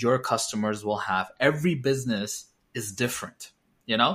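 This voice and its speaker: With ordinary pitch variation, a man talks at medium pitch and moderate speed in an unremarkable speaking voice. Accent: American. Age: 30s. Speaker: cost engineer and small business owner. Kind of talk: casual interview.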